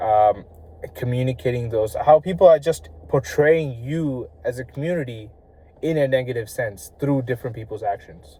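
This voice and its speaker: A man is mumbling. His pitch varies in an ordinary way. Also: medium pitch for a man, moderate pace. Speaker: vlogger. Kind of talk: casual vlog monologue. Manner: halting, stumbling over words; mumbled words.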